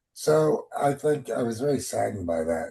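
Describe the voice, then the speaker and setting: A man speaks in a somewhat breathy voice with lively intonation. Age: 60s. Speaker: discussion participant. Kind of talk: group discussion.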